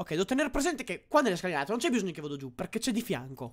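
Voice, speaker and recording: The pitch leaps across a very wide range while the words rush out at a very fast pace. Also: man. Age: 20s. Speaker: gaming streamer. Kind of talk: live gameplay commentary. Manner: animated. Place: home room. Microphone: studio mic.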